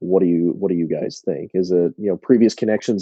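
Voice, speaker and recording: Speaking in an American accent at a fairly quick pace, a man uses a very deep, low pitch and fairly even intonation. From Indianapolis, US Midwest. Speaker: podcast host. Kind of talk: interview. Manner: halting.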